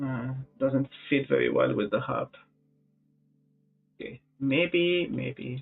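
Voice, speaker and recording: Long pauses come often as a man talks very slowly. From Egypt. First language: Arabic. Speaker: music producer. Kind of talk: live stream chat. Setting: live stream. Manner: halting.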